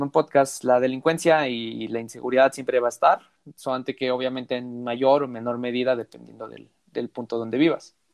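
Monotone, flat intonation marks a man's speech at a medium pitch. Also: big swings in loudness. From Mexico. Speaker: podcast host. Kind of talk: casual chat.

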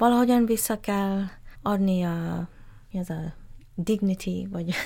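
A somewhat breathy woman with an English accent at a fairly slow pace, on a very clean recording with a silent background. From Malaysia, Malacca (Straits Chinese). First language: English (speaking Hungarian). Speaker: gallery founder. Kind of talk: interview. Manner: halting.

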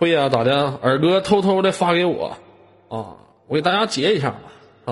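A man's high voice at a moderate pace, lively intonation broken by long, frequent pauses. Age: 20s. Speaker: live-stream host. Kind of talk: live-stream chat. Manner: animated.

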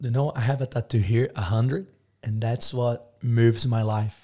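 A man with a Portuguese accent talks at a moderate pace and medium pitch, his dark, mellow tone somewhat breathy, with ordinary pitch variation on a very clean recording against a silent background. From Brazil. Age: 20s. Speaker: business owner. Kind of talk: casual interview chat. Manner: animated.

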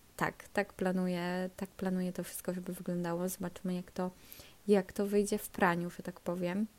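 A woman's medium-pitched voice at a moderate pace, in a monotone, flat intonation. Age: 20s. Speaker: podcast host. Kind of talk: casual monologue. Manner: halting.

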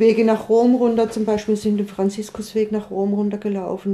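Monotone, flat intonation at a moderate pace, over noticeable background noise. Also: woman. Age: 60s. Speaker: long-distance pilgrim. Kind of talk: casual interview.

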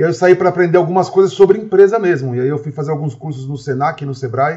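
A São Paulo accent with ordinary pitch variation. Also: man. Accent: Brazilian Portuguese, São Paulo (paulista). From Brazil, Osasco (São Paulo area). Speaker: restaurant entrepreneur. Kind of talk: casual interview.

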